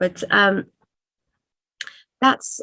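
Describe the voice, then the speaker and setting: A woman with a medium pitch speaks at a fairly slow pace, recorded with a dry, close sound and no echo. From Iran. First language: Persian. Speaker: writer. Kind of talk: interview. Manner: hesitant, many fillers.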